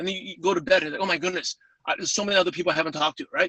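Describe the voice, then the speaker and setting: Here is a man speaking with a New York accent. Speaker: network marketing speaker. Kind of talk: webinar interview. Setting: call. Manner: fast.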